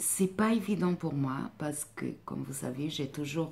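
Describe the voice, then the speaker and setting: Fairly slow speech from a woman with a very deep, low voice and ordinary pitch variation. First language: not French (speaking French). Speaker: life coach and therapist. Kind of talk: vlog monologue. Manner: hesitant, many fillers.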